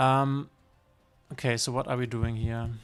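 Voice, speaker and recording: A man with a medium-pitched voice is heard on a very clean recording with a silent background. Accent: German. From northern Germany. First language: German. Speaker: streamer. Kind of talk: live gameplay commentary. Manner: halting.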